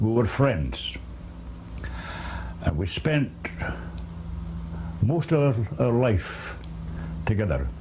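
A man at a very slow pace, very even in loudness, with long, frequent pauses over light background noise. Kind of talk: memorial tribute, personal recollection. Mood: reflective, mourning.

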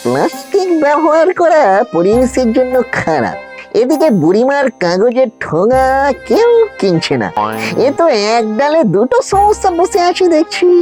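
In a cartoonish character voice, the speaker moves at a fairly slow pace with very wide pitch swings over faint music in the background. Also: slightly mellow tone.

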